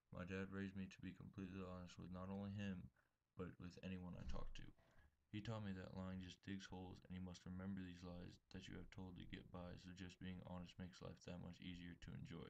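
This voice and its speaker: With an American accent, a man speaks at a very deep, low pitch. His delivery is fairly quick and monotone, with flat intonation. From Texas. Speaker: college student. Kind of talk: reading aloud. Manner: formal.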